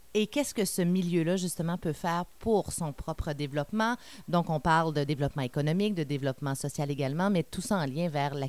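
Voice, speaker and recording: Very deep and low, a woman's voice moves at a fairly quick pace with ordinary pitch variation. The recording is very clean, with a silent background. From Quebec, Témiscamingue. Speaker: podcast host. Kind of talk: podcast intro.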